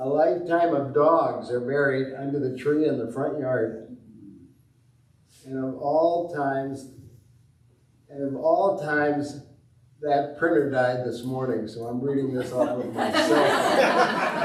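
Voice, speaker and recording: A man's fairly high voice at a very slow pace with long, frequent pauses and fairly even intonation, amid noticeable background noise and audible room echo. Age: 80s+. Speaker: congregation member. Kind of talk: personal reflection.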